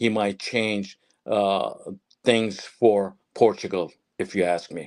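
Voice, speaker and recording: A man speaks in an ordinary speaking voice, fairly low and with fairly even intonation, at a fairly slow pace. The recording is very clean, with a silent background. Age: 60s. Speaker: retired football journalist and pundit. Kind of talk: live podcast interview.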